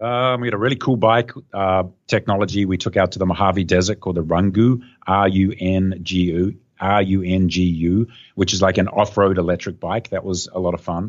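A man talks at a fairly quick clip with a very deep, low voice. His intonation stays fairly even. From New Zealand, then Australia. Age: 50s. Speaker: entrepreneur and TV host. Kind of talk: casual interview chat. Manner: hesitant, many fillers.

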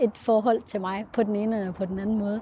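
Here a woman speaks in a somewhat breathy voice. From Denmark, Central Jutland. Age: 20s. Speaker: adoptee, university student. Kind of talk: personal testimony interview. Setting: on a train. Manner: hesitant, many fillers.

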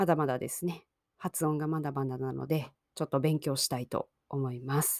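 This woman's delivery is fairly slow. There is no echo, and the sound is dry and close. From Japan. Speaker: Japanese language teacher podcaster. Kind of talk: language-learning podcast monologue. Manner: slow, simple learner-friendly speech.

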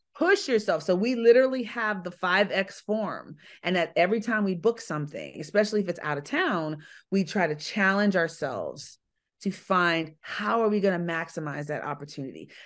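In a normal speaking voice, a woman talks at a medium pitch and moderate pace with lively intonation against a quiet background. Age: 50s. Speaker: public speaker and business owner. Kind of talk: interview.

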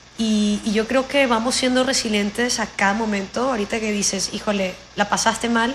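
Against noticeable background noise, a woman with a fairly high pitch speaks at a moderate pace with fairly even intonation. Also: hardly any pauses. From Venezuela, Anzoátegui (Anaco). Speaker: coach and consultant. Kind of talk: casual interview. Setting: call.

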